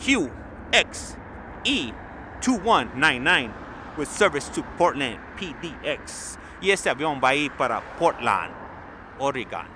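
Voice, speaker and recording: Against noticeable background noise, a man with a fairly high pitch and lively intonation speaks at a fairly slow pace with long, frequent pauses. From Los Angeles, California. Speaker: live stream plane spotting commentator. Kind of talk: live commentary. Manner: casual, chatty.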